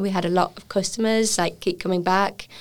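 Flat, monotone speech in an English accent comes at a fairly quick pace on a very clean recording with a silent background. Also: woman. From England. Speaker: chef and restaurant owner. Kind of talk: interview.

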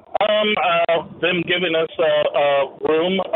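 Noticeable background noise sits behind this speaker. He is a man with an American accent. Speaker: caller, truck driver. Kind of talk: casual chat. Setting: phone call.

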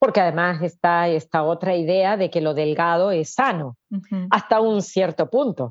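A woman with an ordinary speaking voice talks at a fairly slow pace, fairly low in pitch, with ordinary pitch variation. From Argentina. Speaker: author and therapist. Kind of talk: interview.

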